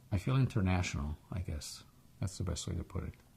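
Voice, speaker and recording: Somewhat breathy, a man speaks with a very deep, low pitch. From Egypt, then Israel. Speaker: interviewee, immigrant. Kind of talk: oral history interview. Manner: hesitant, with repetitions.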